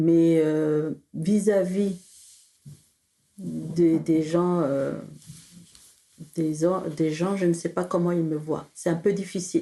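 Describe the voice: A woman speaks slowly in a dark, mellow tone with fairly even intonation.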